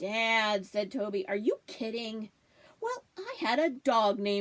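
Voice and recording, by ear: Natural-voiced reading aloud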